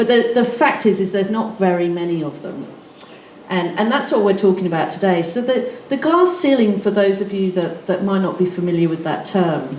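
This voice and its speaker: In a slight English accent, a woman talks at a fairly quick pace with a medium pitch and lively intonation, with audible room echo and noticeable background noise. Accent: slightly English-sounding. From Australia. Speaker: recruitment consultant and panelist. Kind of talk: panel talk. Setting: stage with audience. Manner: hesitant, many fillers.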